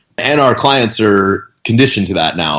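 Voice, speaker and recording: A plain, everyday voice with ordinary pitch variation at a moderate pace. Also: man. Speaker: fitness coach. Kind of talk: casual podcast interview. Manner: casual, storytelling.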